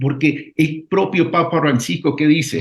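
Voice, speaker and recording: A man is speaking. His voice is somewhat breathy. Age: 60s. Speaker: political candidate. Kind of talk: radio interview.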